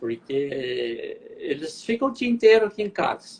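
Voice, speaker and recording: Noticeable background noise accompanies a man as he speaks at a fairly slow pace. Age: 70s. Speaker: retired cancer survivor. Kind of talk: testimony.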